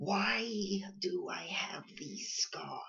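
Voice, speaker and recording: The pitch falls in the middle range. The speaker puts on a character voice. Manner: menacing.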